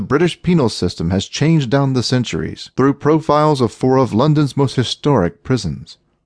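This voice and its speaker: Against a quiet background, a man with medium pitch speaks at a moderate pace in a dramatic tone, his intonation lively and the sound dry and close with no echo. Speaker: audiobook narrator. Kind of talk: dramatic audiobook narration, scripted. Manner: grave, dramatic, measured; formal, ominous, hard-hitting tone.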